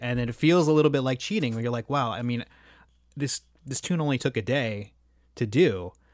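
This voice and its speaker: The recording is very clean, with a silent background. A man with a plain, everyday voice speaks at a moderate pace with ordinary pitch variation. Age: 30s. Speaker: composer. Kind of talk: casual interview.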